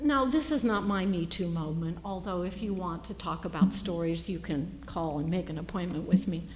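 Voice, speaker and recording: With an American accent, a woman of fairly low pitch talks at a moderate pace with ordinary pitch variation and hardly any pauses, in audible room echo. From United States. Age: 60s. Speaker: Episcopal priest. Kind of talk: sermon. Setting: church.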